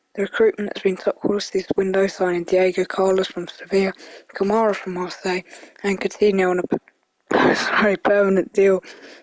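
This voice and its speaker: A woman's medium-pitched voice with a British accent, fairly quick pace and monotone, flat intonation, dry and close with no echo. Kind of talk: casual football prediction talk. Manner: casual, conversational.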